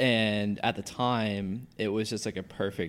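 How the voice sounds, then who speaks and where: A man talks at a moderate pace in a normal speaking voice with an American accent. His intonation is fairly even, and the recording is very clean with a silent background. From US Northeast. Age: 30s. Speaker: former pro BMX athlete. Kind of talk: casual chat. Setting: studio.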